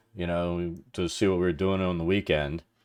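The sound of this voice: On a very clean recording with a silent background, a man speaks at a low pitch and moderate pace, with fairly even intonation and a clear, smooth, slightly mellow tone.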